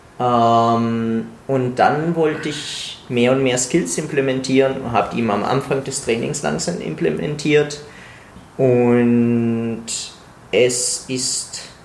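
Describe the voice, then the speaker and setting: A man at a very slow pace with ordinary pitch variation, audible room echo and noticeable background noise. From Italy. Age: 20s. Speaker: pharmacy student and calisthenics coach. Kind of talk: casual chat.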